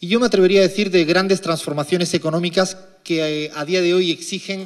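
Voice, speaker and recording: A man speaks in a high voice. His intonation stays fairly even. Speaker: economist. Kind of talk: lecture.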